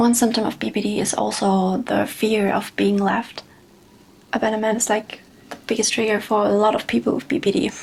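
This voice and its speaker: A woman's fairly high voice with fairly even intonation over noticeable background noise. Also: fairly quick pace. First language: not English. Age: 20s. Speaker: vlogger. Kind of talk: personal testimony. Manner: halting.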